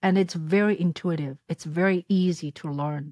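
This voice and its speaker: At a moderate pace, a woman with a Chinese accent speaks with fairly even intonation and a fairly low pitch. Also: very clean recording, silent background. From China, Shanghai. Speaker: content creator and filmmaker. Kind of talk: interview. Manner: halting.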